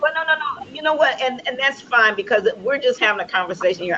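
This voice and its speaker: A woman's voice is heard over noticeable background noise. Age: 60s. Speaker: talk show host. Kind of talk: casual interview chat.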